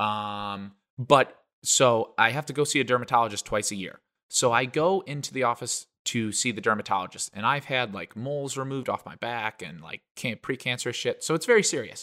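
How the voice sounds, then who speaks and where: In a very clean recording with a silent background and dry, close sound with no echo, a man speaks in an animated, bright, sharp tone. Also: medium pitch for a man, ordinary pitch variation, fairly quick pace. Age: 20s. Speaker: podcast co-host. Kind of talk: casual chat.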